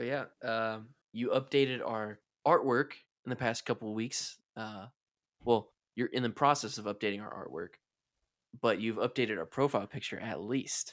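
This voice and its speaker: Recorded very cleanly against a silent background, a man with a medium pitch and ordinary pitch variation talks at a moderate pace, broken by long, frequent pauses. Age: 20s. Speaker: podcast host. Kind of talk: casual chat.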